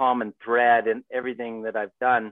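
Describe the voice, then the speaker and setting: With a Canadian accent, a man speaks at a moderate pace and a medium pitch in a plain, everyday voice. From Vancouver, Canada. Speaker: adventure guide and business owner. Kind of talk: casual interview. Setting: video call.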